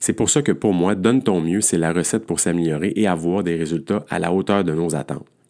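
Speaking in a Quebec accent, a man has a very deep, low pitch, a dark, mellow tone and ordinary pitch variation. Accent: Québécois French. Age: 50s. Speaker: endurance coach. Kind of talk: podcast monologue.

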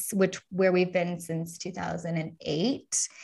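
Over a quiet background, the speaker talks at a very slow pace in a Californian accent. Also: woman. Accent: Californian American. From US, Los Angeles. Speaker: sobriety coach. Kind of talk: interview testimony.

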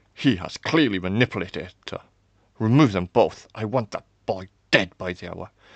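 A man does a put-on character voice, low-pitched with a slightly husky edge and lively intonation, in a dry, close sound with no echo. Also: moderate pace.

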